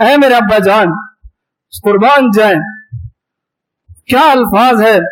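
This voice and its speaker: The voice belongs to a man with a high pitch. His pitch varies in an ordinary way. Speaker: Islamic preacher giving a sermon. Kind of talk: religious sermon.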